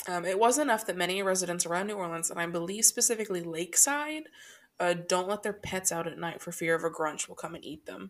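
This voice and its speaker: Loud and very fast, a woman speaks at a medium pitch with lively intonation on a very clean recording with a silent background. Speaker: podcast co-host. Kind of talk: casual chat, comedic storytelling. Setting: recording at home, thin walls. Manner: loud talker.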